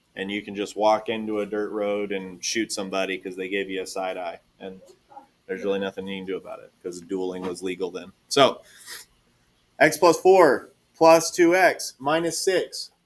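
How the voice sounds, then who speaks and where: A man's fairly low voice with a slight Texas accent, lively intonation, big swings in loudness and a moderate pace. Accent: Texas twang, slight. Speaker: math teacher. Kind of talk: classroom lesson. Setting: classroom with students. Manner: animated.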